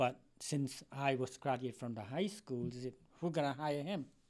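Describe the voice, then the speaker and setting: Spoken with a Cambodian accent at a fairly slow pace. The pitch varies in an ordinary way. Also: man. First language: Khmer. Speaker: retired educator. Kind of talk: interview. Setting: studio.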